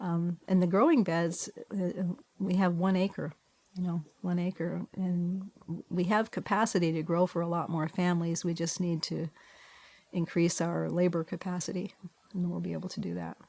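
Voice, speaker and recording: A somewhat breathy woman's voice, dark and mellow in tone, with monotone, flat intonation. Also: fairly low pitch for a woman, moderate pace. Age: 70s. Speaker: farmer and abbess, retired theology professor. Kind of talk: interview.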